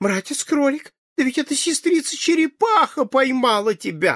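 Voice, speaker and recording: Moderate pace in a put-on character voice. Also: man, extremely high pitch for a man. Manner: alarmed, exclaiming.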